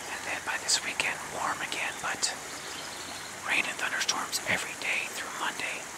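A man whispers with an American accent at a fairly slow pace. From Midwestern US. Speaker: whisper video creator. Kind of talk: ASMR whisper talk. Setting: outdoors by water. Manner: whispered, soft-spoken. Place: waterside.

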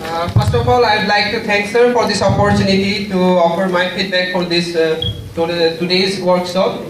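Over noticeable background noise and audible room echo, a man speaks in a high pitch with ordinary pitch variation. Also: moderate pace. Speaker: MBA student giving feedback. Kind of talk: formal thank-you speech. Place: hall.

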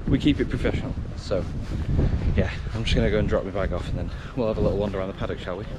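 Very fast speech in a dry sound with no echo, over loud background noise. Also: man. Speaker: racing commentator vlogger. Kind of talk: casual vlog chat. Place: street. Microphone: phone near.

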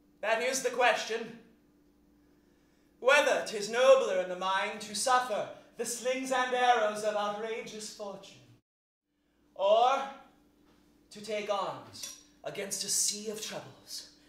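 Amid audible room echo, a man with a high pitch speaks very slowly with long, frequent pauses and fairly even intonation. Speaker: stage actor. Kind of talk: theatrical monologue. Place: stage. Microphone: camera far.

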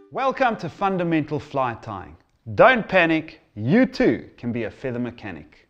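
A man at a moderate pace, his pitch swinging very widely, with faint background music. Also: big swings in loudness. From South Africa. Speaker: fly tying instructor. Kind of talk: promotional trailer presentation; promotional presentation to camera. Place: home room.

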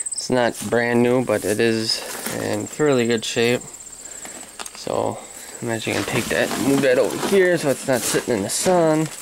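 The speech moves at a moderate pace with long, frequent pauses against noticeable background noise. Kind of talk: casual repair walkthrough. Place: farm machine. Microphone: phone near.

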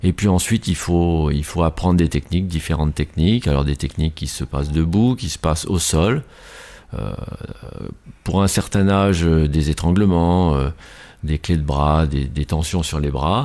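Very deep and low in pitch, a man with a dark, mellow tone talks at a fairly slow pace with ordinary pitch variation. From France, La Rochelle. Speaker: judo teacher. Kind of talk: radio interview. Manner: hesitant.

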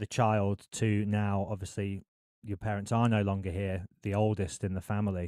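A man with a normal speaking voice talks at a fairly slow pace and fairly low pitch, recorded dry with no echo against a quiet background. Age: 30s. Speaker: podcast host and radio presenter; podcast host, radio presenter. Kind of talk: interview. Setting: video call. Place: home room. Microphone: studio mic.

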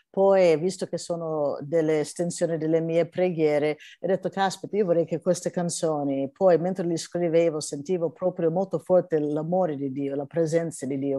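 In an English accent, a woman speaks at a moderate pace with fairly even intonation and a fairly low pitch. Her tone is dark and mellow, the sound dry with no echo against a quiet background. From California, US. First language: English (speaking Italian). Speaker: gospel singer; interviewee. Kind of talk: interview. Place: home room. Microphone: video call.

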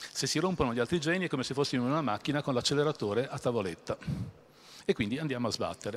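A man talks very fast at a fairly high pitch. His intonation is lively. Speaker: guest lecturer. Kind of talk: public lecture with audience Q&A. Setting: stage with audience. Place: hall. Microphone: handheld.

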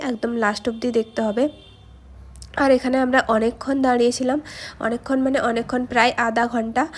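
The speaker is a woman with a high pitch. Her intonation is monotone and flat. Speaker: travel vlogger. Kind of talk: vlog narration.

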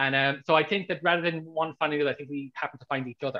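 An Irish accent at a very fast pace, with fairly even intonation and a quiet background. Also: man. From Ireland. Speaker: author. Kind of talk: interview. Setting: video call. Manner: halting. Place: home room.

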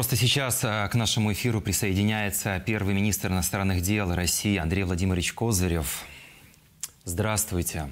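Keeping very even loudness, a man with a fairly low voice talks at a moderate pace with ordinary pitch variation. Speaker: TV news presenter. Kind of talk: broadcast interview. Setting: TV studio. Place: studio. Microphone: lapel.

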